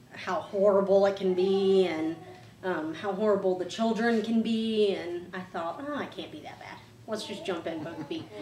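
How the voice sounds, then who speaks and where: A woman's loudness swings widely while her pitch varies in an ordinary way. Light background noise and audible room echo fill the recording. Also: moderate pace. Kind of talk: interview answer. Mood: warm, sometimes laughing. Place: home room.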